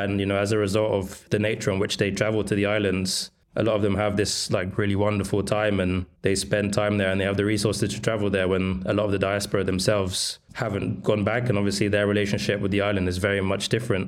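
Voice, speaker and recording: A man with a London accent talks very fast, with hardly any pauses and very even loudness. His fairly low-pitched voice has monotone, flat intonation. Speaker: food writer interviewer. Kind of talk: casual interview conversation.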